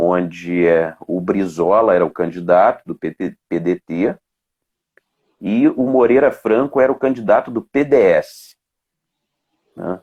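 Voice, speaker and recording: A man's fairly low voice with lively intonation and long, frequent pauses, dry and close with no echo, over a quiet background. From Mato Grosso do Sul, Brazil (raised largely in Rio de Janeiro). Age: 40s. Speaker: police officer and political candidate. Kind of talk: interview. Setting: Instagram live video. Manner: halting, many fillers.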